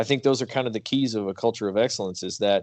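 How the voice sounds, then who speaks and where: Against a quiet background, a man with a medium pitch talks at a very fast pace. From Kentucky. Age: 30s. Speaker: podcast host. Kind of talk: interview.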